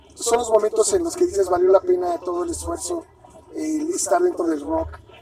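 Against noticeable background noise, a man speaks fairly quickly. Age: 40s. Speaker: punk band vocalist. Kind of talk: interview.

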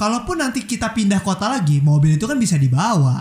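The pitch swings very widely while the words come at a fairly quick pace. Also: man. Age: 20s. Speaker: podcast host. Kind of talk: casual chat.

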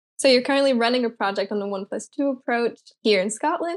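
Speaking at a fairly quick pace, a woman with a plain, everyday voice has a fairly high pitch and ordinary pitch variation. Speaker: student volunteer. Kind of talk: casual interview chat.

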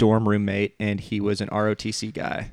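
With a Southern US accent, a man speaks at a fairly low pitch. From Alabama. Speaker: podcast host. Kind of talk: casual chat.

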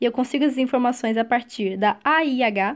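High-pitched female voice, its pitch varying in an ordinary way. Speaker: medical exam prep podcaster. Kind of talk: recorded audio lecture.

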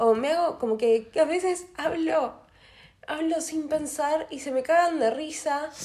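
Speaking at a fairly slow pace, a woman has a high pitch and a dark, mellow tone. Her pitch variation is ordinary. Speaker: podcast co-host. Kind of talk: casual chat.

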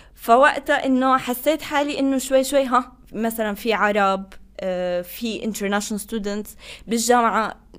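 A woman with an unremarkable speaking voice, ordinary pitch variation and a moderate pace. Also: fairly high pitch for a woman. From Tunisia, Tozeur; also lived in Qatar. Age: 20s. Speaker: international student office staff and graduate student. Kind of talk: interview conversation.

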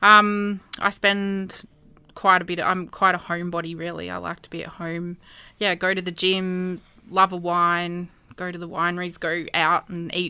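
A woman with an Australian accent speaks at a moderate pace in a fairly low pitch, with monotone, flat intonation and big swings in loudness. Her tone is bright and sharp, and the recording is very clean with a silent background. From Albury, New South Wales, Australia. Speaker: street food business owner. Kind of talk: interview. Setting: studio.

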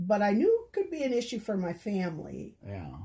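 A woman speaks with an American accent. Her voice is somewhat breathy, with a dark, mellow tone. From rural Minnesota. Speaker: podcast guest, host's mother. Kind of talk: casual chat.

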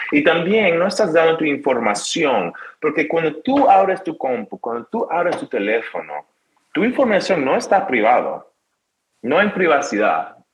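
A high-pitched man with very wide pitch swings. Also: fairly slow pace. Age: 20s. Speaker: tech and branding expert. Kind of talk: interview. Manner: halting, with repetitions and English fillers.

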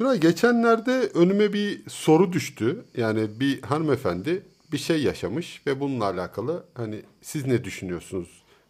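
This man talks at a moderate pace in a fairly high pitch, his pitch swinging very widely, on a very clean recording with a silent background. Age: 40s. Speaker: podcast co-host. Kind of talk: casual chat. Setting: home recording.

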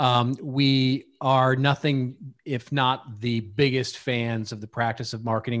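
A man in a flat monotone with an American accent, over a quiet background. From Texas, Dallas. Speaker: marketing strategist and author. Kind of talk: interview.

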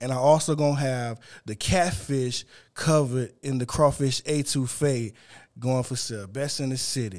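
A Louisiana accent at a moderate pace. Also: man, medium pitch for a man, ordinary pitch variation. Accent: US South (Louisiana). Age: 40s. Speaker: seafood vendor and podcaster. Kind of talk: casual chat.

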